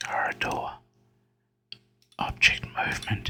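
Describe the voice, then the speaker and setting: A man whispers with music in the background. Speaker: gaming youtuber. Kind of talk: let's play commentary. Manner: whispering.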